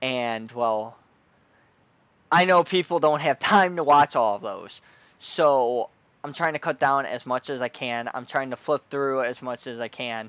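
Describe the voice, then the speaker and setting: A man's medium-pitched, ordinary speaking voice at a fairly slow pace, with ordinary pitch variation. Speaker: tabletop gaming YouTuber. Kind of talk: product review. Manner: casual, filler-heavy.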